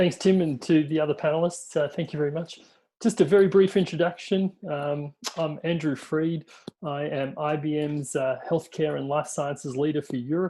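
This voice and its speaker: His voice dark and mellow yet fairly high in pitch, a man speaks at a moderate pace with fairly even intonation. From Australia. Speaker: tech industry executive. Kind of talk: webinar panel presentation. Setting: online webinar. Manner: hesitant, many fillers.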